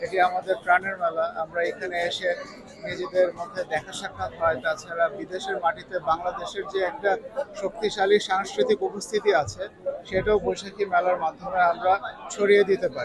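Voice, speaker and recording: This man's voice sits high, with fairly even intonation. Crowd noise carries in the background. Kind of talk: vox pop speech.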